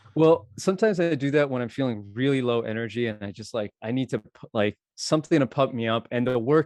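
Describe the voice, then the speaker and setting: Speaking in an ordinary speaking voice, a man uses a medium pitch with ordinary pitch variation, a fairly quick pace and hardly any pauses. The sound is dry and close, with no echo. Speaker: DJ and software engineer. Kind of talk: casual chat.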